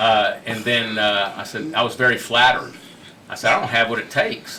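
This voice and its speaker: A man talks with a Texan accent. Audible room echo and noticeable background noise surround him. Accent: Texan American. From Houston, Texas. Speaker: restaurateur. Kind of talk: interview storytelling. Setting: studio. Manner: fast; animated.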